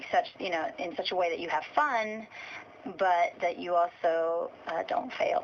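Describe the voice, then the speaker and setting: The woman talks rather slowly. There is noticeable noise in the background. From Portugal. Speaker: singer-songwriter. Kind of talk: interview.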